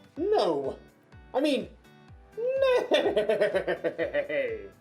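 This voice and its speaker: A put-on character voice at an extremely high pitch, with faint music in the background. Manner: goofy, exaggerated.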